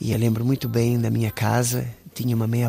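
A man speaks with a medium pitch. His pace is moderate. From Cabo Verde, Mindelo (São Vicente). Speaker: musician. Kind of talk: personal reminiscence.

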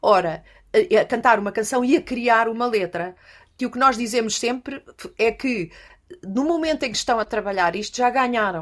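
On a very clean recording with a silent background, a woman speaks at a moderate pace with a fairly high pitch and lively intonation. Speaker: music education teacher. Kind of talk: interview conversation. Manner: halting.

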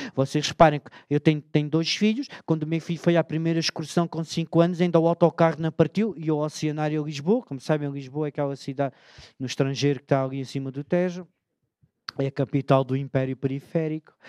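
A man talks at a very fast pace with a fairly high pitch and fairly even intonation. The sound is dry and close with no echo over a quiet background. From Alentejo, Portugal (Beja). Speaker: storyteller. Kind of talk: comic talk on stage. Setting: auditorium with audience.

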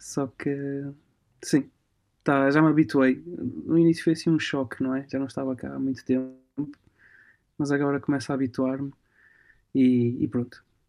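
With long, frequent pauses, a man speaks at a fairly slow pace with fairly high pitch and fairly even intonation. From Portugal. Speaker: musician and music promoter. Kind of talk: casual chat. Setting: remote call from home. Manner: halting.

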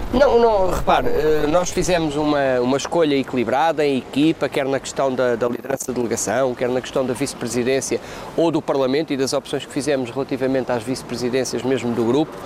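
A man's medium-pitched voice, showing ordinary pitch variation, moves at a fairly quick pace amid noticeable background noise. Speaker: politician. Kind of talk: interview. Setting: parliament building.

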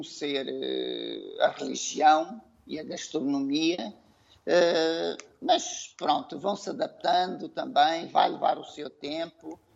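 Over noticeable background noise, a man speaks at a very slow pace, his loudness swinging widely. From Mozambique. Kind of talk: interview discussion.

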